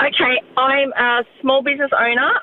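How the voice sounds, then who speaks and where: Noticeable background noise sits behind a woman with an Australian accent. Her pitch is high, with ordinary variation. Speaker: radio host. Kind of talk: casual chat. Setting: studio.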